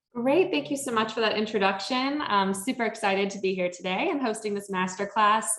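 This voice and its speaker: A woman with an American accent talks fairly quickly with hardly any pauses. Her pitch is fairly high, and there is noticeable background noise. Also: ordinary pitch variation. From Chicago, US Midwest. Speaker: social media trainer. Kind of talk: masterclass presentation.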